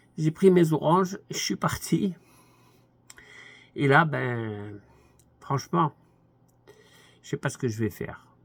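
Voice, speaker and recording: A man's somewhat breathy, fairly high voice at a very slow pace, with lively intonation, big swings in loudness and long, frequent pauses. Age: 80s+. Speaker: commentator. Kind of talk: monologue. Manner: halting.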